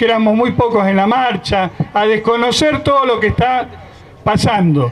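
A man is speaking at a moderate pace. His pitch is high. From Argentina. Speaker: union leader. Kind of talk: rally speech. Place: street.

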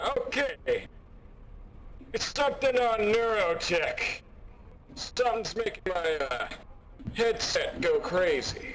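A man in a put-on character voice, fairly slow, with long, frequent pauses and clear background noise. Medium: role play. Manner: loud, emphatic.

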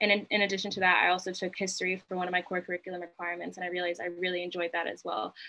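A woman with an American accent speaks very fast at a medium pitch, with hardly any pauses. Her tone is bright and sharp, her intonation monotone and flat. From New Jersey, Berkeley Heights; New Jersey. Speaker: college student. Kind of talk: panel discussion. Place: home room. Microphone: video call.

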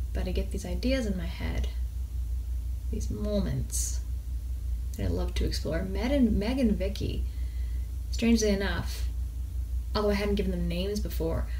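At a moderate pace with long, frequent pauses, a woman talks in a very deep, low pitch and a monotone, flat intonation over light background noise. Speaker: indie author. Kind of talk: casual talk to camera. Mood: relaxed, thoughtful. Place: home room. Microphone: phone near.

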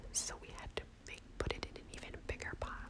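A woman whispers while noticeable noise carries on behind her. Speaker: ASMR creator. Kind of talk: ASMR show and tell, plant collection. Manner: whispered, soft-spoken.

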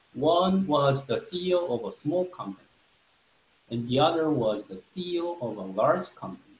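Speaking with a Korean accent at a fairly slow pace, a man uses a fairly high pitch with very wide pitch swings and big swings in loudness, all with audible room echo. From South Korea. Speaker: marketing professor. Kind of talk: lecture. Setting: video call. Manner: halting, many fillers. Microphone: webcam.

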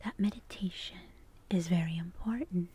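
A woman whispers, soft-spoken and somewhat breathy. The sound is dry, with no echo. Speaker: ASMR artist. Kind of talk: guided sleep meditation. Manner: soft-spoken, whispered.

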